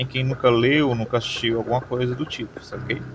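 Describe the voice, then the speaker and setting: Medium-pitched male voice at a moderate pace amid noticeable background noise. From Maranguape, Ceará, Brazil. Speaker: podcast host, philosophy teacher. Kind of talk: solo podcast monologue. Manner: hesitant, with fillers and repetitions.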